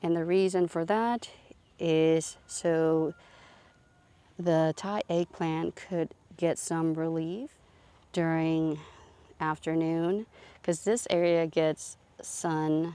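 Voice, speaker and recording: A woman's fairly low voice with a dark, mellow tone, fairly even intonation, a very slow pace, and long, frequent pauses. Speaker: gardening vlogger. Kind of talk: garden tour. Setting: outdoors in garden. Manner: casual, hesitant.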